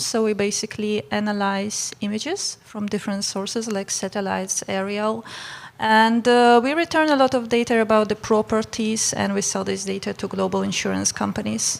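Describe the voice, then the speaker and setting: A woman talks at a moderate pace. Noticeable noise sits in the background. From Poland. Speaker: marketing executive, panelist. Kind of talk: panel discussion.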